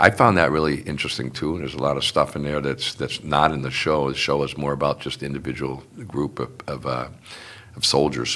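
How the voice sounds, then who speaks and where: Noticeable background noise runs under this recording. A man with a very deep, low pitch speaks at a fairly quick pace. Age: 70s. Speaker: union and community activist, son of a WWII veteran. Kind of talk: casual interview. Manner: halting, many fillers.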